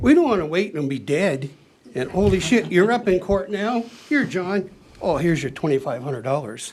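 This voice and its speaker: Over noticeable background noise, a man with a high pitch speaks at a moderate pace with very wide pitch swings. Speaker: resident speaking at council meeting. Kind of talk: public comment at council meeting. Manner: animated.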